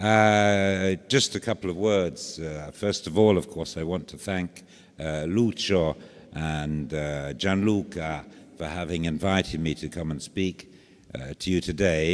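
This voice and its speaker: A man speaks fairly slowly with a very deep, low pitch and ordinary pitch variation. The recording is very clean, with a silent background. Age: old. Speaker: archaeologist. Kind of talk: lecture. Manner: clear diction; halting, many fillers.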